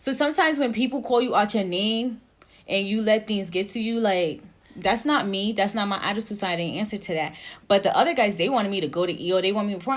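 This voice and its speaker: Very fast speech comes from a woman with a fairly high pitch and ordinary pitch variation. Noticeable background noise sits underneath. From New Jersey, Jamaican mother. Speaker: podcast co-host, active duty Air Force member. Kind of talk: casual chat.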